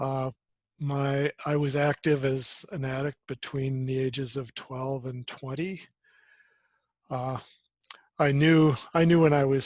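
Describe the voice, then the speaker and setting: A fairly slow, monotone voice with an American accent, flat in intonation, in a dry, close recording without echo. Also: man. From US Upper Midwest, Minneapolis. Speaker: recovery volunteer and training facilitator. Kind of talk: personal introduction in training session. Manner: halting, many fillers.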